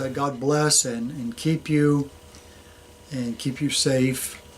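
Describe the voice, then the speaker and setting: Noticeable background noise accompanies a man who speaks slowly-ish, at a fairly slow pace, in a fairly high pitch. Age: 60s. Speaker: metal detecting channel host. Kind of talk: casual show announcements. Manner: halting, many fillers.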